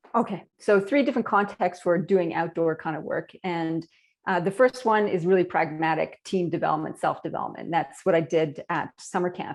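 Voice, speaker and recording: With a Canadian accent, a woman talks at a fairly quick pace and a fairly low pitch. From Canada. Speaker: leadership consultant. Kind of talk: podcast interview. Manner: animated.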